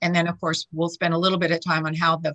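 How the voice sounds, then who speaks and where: A woman talks at a very fast pace with a bright, sharp tone and fairly low pitch. Her intonation is fairly even, and the sound is dry and close with no echo. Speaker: charity executive presenter. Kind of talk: presentation.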